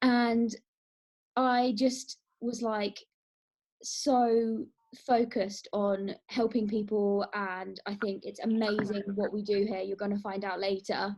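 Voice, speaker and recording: A woman with a southern English accent, at a very slow pace and in a monotone, flat intonation. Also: medium pitch for a woman. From England, near London. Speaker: wellness coach. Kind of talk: casual group introduction on a call.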